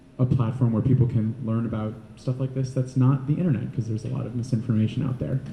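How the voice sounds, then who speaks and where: A man speaks quietly in a dark, mellow tone. His voice is somewhat breathy. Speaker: panelist sharing experience as a PrEP user. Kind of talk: panel talk. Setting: panel event with audience. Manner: quiet-spoken.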